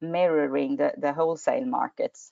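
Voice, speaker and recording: Speaking with a Swedish accent, a woman keeps a moderate pace. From Sweden. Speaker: energy regulator. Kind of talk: webinar presentation. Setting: online webinar. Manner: halting, many fillers.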